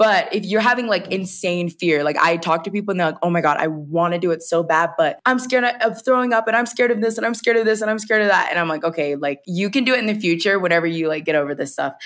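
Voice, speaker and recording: Speaking very fast with an American accent, hardly any pauses and lively intonation, the voice comes through over noticeable background noise. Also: woman, medium pitch for a woman. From US South, rural Georgia. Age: 20s. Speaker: travel content creator. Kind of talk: casual interview chat. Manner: animated storytelling, many 'like' fillers.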